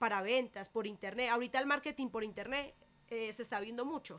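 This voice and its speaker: A woman's fairly high voice, bright and sharp in tone, shows ordinary pitch variation. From Colombia. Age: 20s. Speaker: local political candidate; candidate. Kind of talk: radio interview. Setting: radio studio. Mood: earnest, persuasive. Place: studio. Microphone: studio mic.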